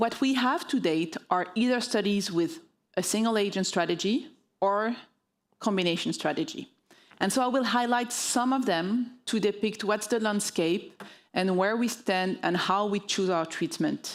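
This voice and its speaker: With a French accent, a woman speaks at a moderate pace in a medium pitch, with ordinary pitch variation and very even loudness, on a very clean recording with a silent background. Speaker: oncologist. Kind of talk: medical conference talk. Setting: stage with audience.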